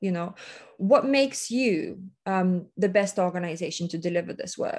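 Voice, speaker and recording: A woman with a non-native accent speaks at a fairly slow pace, her intonation lively. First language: not English. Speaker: workshop presenter. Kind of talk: workshop presentation. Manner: hesitant, with many fillers and restarts.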